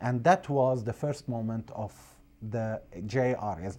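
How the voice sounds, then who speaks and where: A man with an Arabic accent speaks in a dark, mellow tone with lively intonation. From Syria, Aleppo; Syria. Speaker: priest and refugee aid director. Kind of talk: interview. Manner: halting. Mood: earnest, calm, sometimes smiling. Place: studio. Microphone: lapel.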